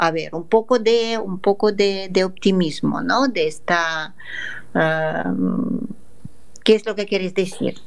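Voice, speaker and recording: Her pitch is medium, with ordinary pitch variation. The woman speaks at a very slow pace. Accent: Russian. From Russia, Moscow. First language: Russian (speaking Spanish). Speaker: radio host. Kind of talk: radio interview.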